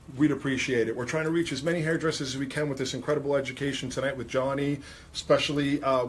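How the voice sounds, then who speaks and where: A somewhat breathy man with an American accent. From New York. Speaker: hairdressing educator and livestream host. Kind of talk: livestream chat, reading viewer comments. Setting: livestream in a salon. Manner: enthusiastic.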